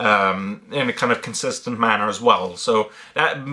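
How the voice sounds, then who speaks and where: A man with ordinary pitch variation. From Ireland. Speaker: YouTuber. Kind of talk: Q&A monologue. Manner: hesitant, many fillers.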